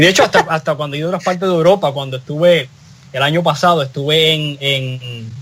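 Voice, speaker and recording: In a Puerto Rican accent, a man with a fairly high pitch speaks at a very fast pace with fairly even intonation. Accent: Puerto Rican Spanish, mistaken for Canarian. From Puerto Rico. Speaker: talk show panelist. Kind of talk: casual panel discussion. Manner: halting, many repetitions.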